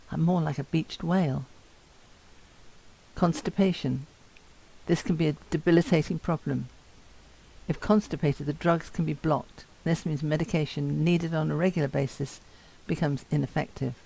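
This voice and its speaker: Her voice is very deep and low, a woman's dark, mellow tone with vocal fry, ordinary pitch variation, a moderate pace and long, frequent pauses. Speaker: person with Parkinson's giving a talk. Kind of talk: talk to students. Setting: talk to university students. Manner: slurred at times.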